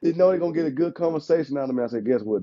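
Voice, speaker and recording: The man's voice sits at a fairly high pitch with lively intonation. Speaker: insurance agent. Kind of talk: casual chat. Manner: animated.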